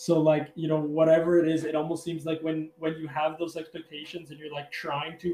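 A man speaks with a western Canadian accent at a very fast pace. His fairly high voice is monotone, with flat intonation. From Calgary, Alberta, Canada. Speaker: angler and hunter. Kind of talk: casual interview chat. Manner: hesitant, many fillers.

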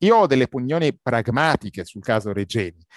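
Speaking at a very fast pace, a man with medium pitch uses lively intonation, the sound dry and close with no echo. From Egypt, Cairo. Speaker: simultaneous interpreter and cultural commentator. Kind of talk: interview. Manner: hesitant, many repetitions.

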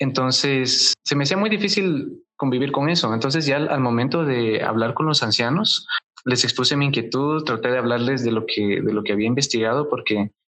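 A man's fairly high voice in a Guatemalan accent, fairly quick, with lively intonation. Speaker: former Jehovah's Witness. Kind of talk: interview testimony. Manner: halting, with fillers.

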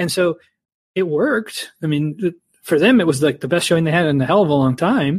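The pace of his speech is fairly quick. His pitch is high. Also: ordinary pitch variation. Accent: Midwestern American. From Ohio. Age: 40s. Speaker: left-wing podcast co-host. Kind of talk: casual interview.

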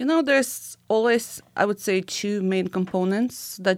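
Over a very clean recording with a silent background, a woman with a Ukrainian accent speaks fairly slowly with lively intonation. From Ukraine. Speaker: immigration and recruitment consultant. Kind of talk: interview. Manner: halting.

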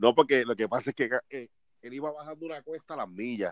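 A man speaks at a medium pitch with a Puerto Rican accent. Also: dry, close sound with no echo. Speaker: podcast co-host. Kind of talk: casual chat. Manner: animated.

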